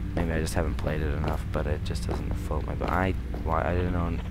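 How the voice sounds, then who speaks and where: A man mumbles quietly at a fairly quick pace. Noticeable background noise and audible room echo surround him. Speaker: gaming YouTuber. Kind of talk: let's play commentary. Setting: alone in bedroom at night. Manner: quiet, mumbling.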